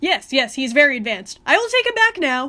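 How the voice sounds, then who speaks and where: A woman shouts in a put-on character voice, raised and projected, high-pitched with very wide pitch swings. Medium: read story. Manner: shouty, dramatic.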